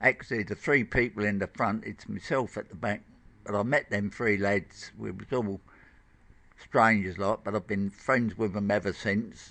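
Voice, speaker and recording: A man's fairly low voice with a bright, sharp tone, fairly even intonation and a moderate pace. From Blackheath, south-east London. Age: 70s. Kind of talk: interview answer.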